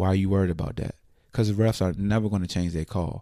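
A man's very deep, low voice with a dark, mellow tone and monotone, flat intonation on a very clean recording with a silent background. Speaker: sports podcast host. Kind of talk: sports recap monologue. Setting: home recording late at night. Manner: low, quiet voice; relaxed.

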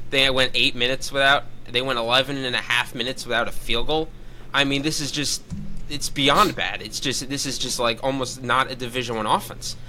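An unremarkable speaking voice from a man, fairly quick, with fairly even intonation. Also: medium pitch for a man. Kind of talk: casual sports chat.

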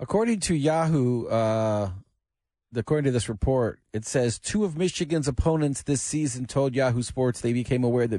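Against a quiet background, a man with a plain, everyday voice speaks at medium pitch and a moderate pace, with lively intonation and very even loudness. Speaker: sports commentator. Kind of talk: casual radio chat.

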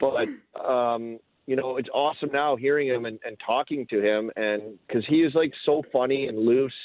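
A man talks at a moderate pace with a medium pitch and fairly even intonation. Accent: Canadian prairie. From Saskatoon, Canada. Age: 40s. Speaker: former hockey player and analyst. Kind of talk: casual interview.

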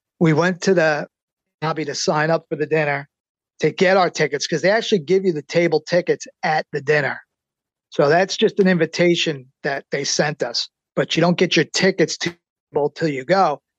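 With an unremarkable speaking voice, a man talks at a moderate pace and a fairly high pitch, keeping his intonation fairly even over a quiet background. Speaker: book co-author and subject. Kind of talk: interview.

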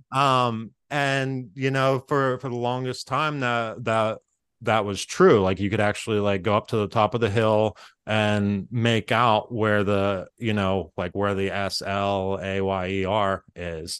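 A man with a plain, everyday voice talks at a fairly slow pace in an American accent, his pitch fairly low with ordinary variation. The background is quiet. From Pittsburgh area, western Pennsylvania. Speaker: improviser. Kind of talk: casual chat, storytelling.

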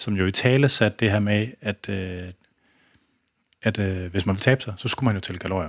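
Long, frequent pauses break up a man's speech at a moderate pace. His pitch sits fairly low, with fairly even intonation. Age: 40s. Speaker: podcast host and fitness expert. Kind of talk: casual interview chat. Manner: halting, many fillers.

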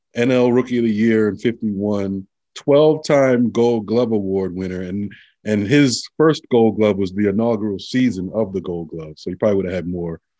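A man speaks at a moderate pace in a fairly low pitch with a New York accent, his tone dark and mellow. His pitch varies in an ordinary way against a quiet background. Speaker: podcast co-host. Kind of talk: casual chat.

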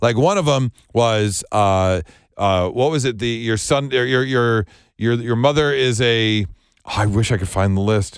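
On a very clean recording with a silent background, a man talks at a fairly slow pace in an unremarkable speaking voice, medium in pitch with ordinary pitch variation and very even loudness. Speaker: radio host. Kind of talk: casual chat.

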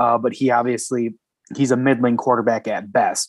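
An unremarkable speaking voice from a man, medium in pitch and moderate in pace, with a very clean recording, a silent background and a dry, close sound with no echo. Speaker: podcast co-host. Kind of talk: sports podcast discussion.

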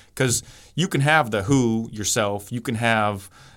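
A man with an unremarkable speaking voice talks at a fairly slow pace and medium pitch. The recording is very clean, with a silent background. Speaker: basketball trainer and author. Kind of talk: casual interview. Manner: upbeat, friendly.

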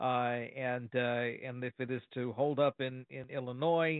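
A man with a plain, everyday voice, medium in pitch, with fairly even intonation. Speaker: news correspondent. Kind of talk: radio interview. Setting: phone call.

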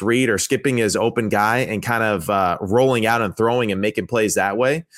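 A man with a plain, everyday voice, ordinary pitch variation and a moderate pace, in a very clean recording with a silent background. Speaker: former NFL quarterback, football analyst. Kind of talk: casual sports analysis chat.

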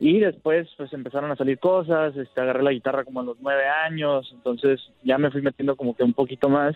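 With a normal speaking voice, a man talks at a fairly quick pace with hardly any pauses and fairly even intonation. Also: fairly high pitch for a man. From Sonora, Mexico. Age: 20s. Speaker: singer-songwriter. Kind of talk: phone interview.

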